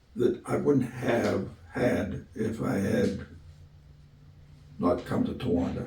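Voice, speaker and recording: A man with an American accent speaks at a very slow pace with long, frequent pauses. Room echo is audible. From Western Pennsylvania (Clarion County). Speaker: retired football coach. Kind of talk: interview. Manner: halting, many fillers.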